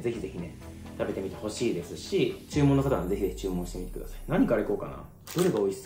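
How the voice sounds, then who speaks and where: Faint music plays in the background as a man talks at a very fast pace, with audible room echo. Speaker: food vlogger. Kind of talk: casual vlog chat. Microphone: phone near.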